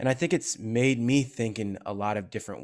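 A man speaks with a Californian accent at a moderate pace. The recording is very clean with a silent background. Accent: General American, California. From US. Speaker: actor and content creator. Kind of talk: casual interview. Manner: animated.

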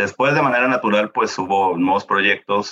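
A man speaks at a moderate pace. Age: 30s. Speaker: project management office coordinator. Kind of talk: interview.

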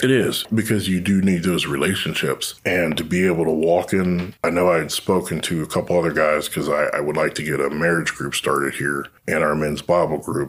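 Over noticeable background noise, a man with an American accent and a very deep, low pitch talks at a fairly quick pace. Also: fairly even intonation. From Ohio, Youngstown. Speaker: former Marine and police officer, real estate agent. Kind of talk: testimony.

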